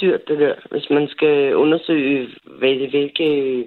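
The pitch is very deep and low. It belongs to a woman. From Copenhagen (Frederiksberg). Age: 40s. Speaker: caller. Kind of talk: personal story on call-in radio. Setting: phone call. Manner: halting.

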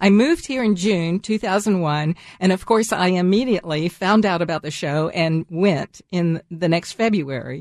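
In an American accent, a woman with an ordinary speaking voice talks at a moderate pace with hardly any pauses and ordinary pitch variation. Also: medium pitch for a woman. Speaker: radio host. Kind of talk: radio interview, gardening show. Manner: friendly, laughs often.

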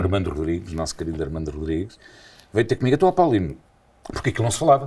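A man speaks in a somewhat breathy voice. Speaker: radio presenter. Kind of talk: casual chat.

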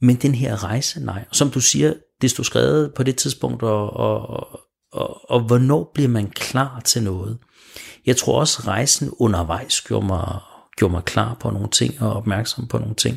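A man's medium-pitched voice with vocal fry, lively intonation and a fairly slow pace, on a very clean recording with a silent background. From Denmark, Smørum. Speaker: guest on a faith radio show. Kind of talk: radio interview. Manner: hesitant, many repeated words.

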